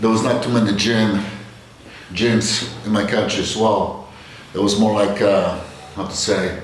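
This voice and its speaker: Amid audible room echo and noticeable background noise, a man with a fairly low pitch speaks at a fairly slow pace in a monotone, flat intonation, with long, frequent pauses. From Poland, Bielsko-Biała. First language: Polish. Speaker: fitness vlogger. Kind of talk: casual vlog monologue. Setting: home gym. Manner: halting.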